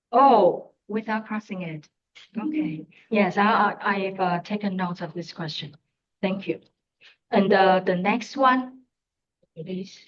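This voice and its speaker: A woman with a Chinese accent at a very slow pace, long and frequent pauses, ordinary pitch variation and big swings in loudness. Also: medium pitch for a woman. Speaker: conference presenter. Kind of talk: academic Q&A. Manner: halting.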